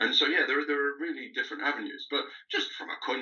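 This is a man speaking. He has a Lancashire accent. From northern England, Lancaster. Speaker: archaeology PhD student. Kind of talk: casual interview.

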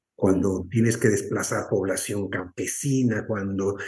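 Fairly slowly and with fairly even intonation, a man talks in a dark, mellow tone that is somewhat breathy. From northern Mexico, moved around Mexico as a child. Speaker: environmental activist. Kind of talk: interview testimony.

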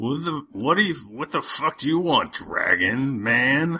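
A man's put-on character voice, fairly high in pitch and very slow in pace. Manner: rude, aggressive.

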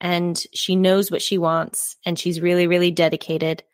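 A woman's normal speaking voice at a fairly low pitch and moderate pace, dry and close with no echo, in a very clean recording with a silent background. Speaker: book podcast co-host. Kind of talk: casual chat. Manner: excitable.

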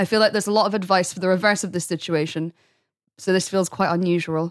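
On a very clean recording with a silent background, a woman speaks at a very fast pace. Her intonation is fairly even. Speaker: podcast co-host. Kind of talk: casual chat. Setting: studio.

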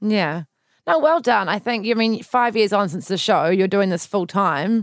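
Someone with a New Zealand accent speaks at a fairly slow pace with lively intonation, in a very clean recording over a silent background. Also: woman. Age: 20s. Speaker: podcast host. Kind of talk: casual interview.

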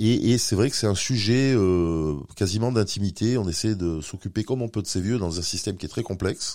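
A man's fairly low, dark, mellow voice at a moderate pace, with hardly any pauses and ordinary pitch variation, on a very clean recording with a silent background. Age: 50s. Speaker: company director for aging and accessibility. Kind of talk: interview. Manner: halting.

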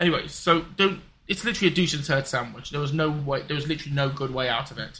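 Over music in the background, a man with a British accent talks at a very fast pace. His pitch is fairly high, with ordinary variation. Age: 20s. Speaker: podcast co-host. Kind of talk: casual chat. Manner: halting.

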